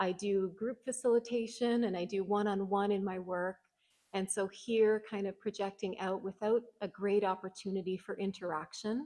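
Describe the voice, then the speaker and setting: Soft-spoken and in a Canadian accent, a woman with a medium pitch and a dark, mellow tone talks at a moderate pace with fairly even intonation. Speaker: social worker. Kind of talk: conference presentation. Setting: conference hall with audience.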